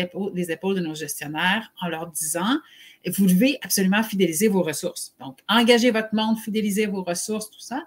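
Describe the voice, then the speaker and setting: Her pace is fairly quick and her intonation lively. The woman's voice sits at medium pitch and sounds somewhat breathy. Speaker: HR consultant and live show host. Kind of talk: live webcast discussion.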